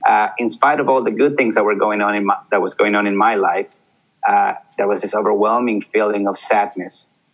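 A man with a Spanish accent, talking at a fairly quick pace. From Peru. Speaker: army veteran. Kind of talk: interview.

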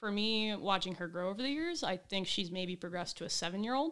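A woman at medium pitch, with ordinary pitch variation, speaks in a plain, everyday voice. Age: 20s. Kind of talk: casual chat.

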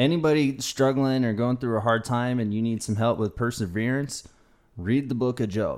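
A man with an American accent has an unremarkable speaking voice at a medium pitch. His intonation is fairly even, and his pace is moderate. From US South. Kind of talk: casual chat.

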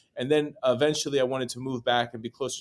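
A man with an American accent speaks at a very fast pace in a medium pitch. His intonation stays fairly even. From New York City. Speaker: real estate broker. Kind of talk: interview.

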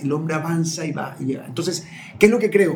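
Music plays in the background as a man talks with a high pitch. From Ecuador, Manabí coast (Portoviejo and Chone). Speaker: communicator, lawyer and human behavior coach. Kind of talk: interview conversation. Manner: hesitant, with frequent word repetitions.

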